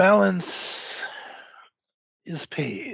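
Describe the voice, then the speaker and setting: A man's high-pitched, put-on character voice. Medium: actual play. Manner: formal, stilted.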